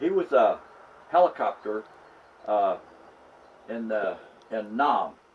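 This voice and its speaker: A man speaks over noticeable background noise. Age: 80s+. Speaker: retired engineer and former pastor. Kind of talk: casual chat. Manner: halting.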